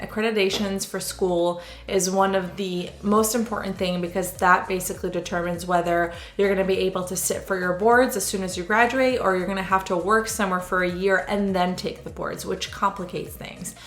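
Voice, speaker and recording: A woman with an Israeli accent talks at a fairly quick pace, with hardly any pauses, at a medium pitch and in a monotone, flat intonation. Audible room echo and noticeable background noise fill the recording. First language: Hebrew. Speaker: sonographer. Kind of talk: casual Q&A vlog. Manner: conversational, with frequent fillers.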